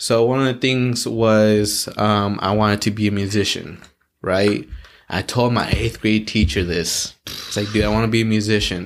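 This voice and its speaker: Fairly even intonation in an ordinary speaking voice, moderate in pace. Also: man, fairly low pitch for a man. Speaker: podcast host. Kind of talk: casual chat.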